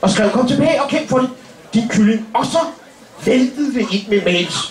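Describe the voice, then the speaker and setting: Over light background noise and audible room echo, a man speaks at an extremely high pitch with very wide pitch swings. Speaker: comedian. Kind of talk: stand-up comedy roast. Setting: stage with audience. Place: stage. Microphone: camera far.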